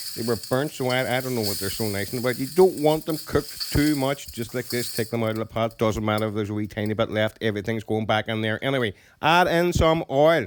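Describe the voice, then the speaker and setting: An Irish accent marks this man's animated speech, delivered at a very fast pace. His pitch is medium, with ordinary variation. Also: hardly any pauses. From Ireland. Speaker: cooking youtuber. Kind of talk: cooking tutorial. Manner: animated, informal.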